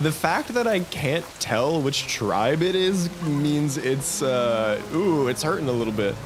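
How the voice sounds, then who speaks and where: Talking at a very slow pace with hardly any pauses, a man uses a fairly high pitch and lively intonation while his loudness stays very even. Room echo is audible, and background noise is noticeable. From Canada. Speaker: gaming streamer. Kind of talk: live stream chat. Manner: animated.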